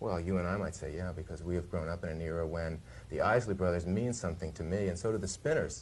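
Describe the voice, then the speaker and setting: The speech runs at a very fast pace, somewhat breathy, with ordinary pitch variation. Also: man. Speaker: music TV host. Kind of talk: interview answer. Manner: hesitant, stammering.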